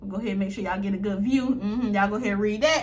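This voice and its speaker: Fairly high-pitched and animated, a woman amid noticeable background noise. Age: 20s. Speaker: YouTube reaction creator. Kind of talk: casual reaction commentary.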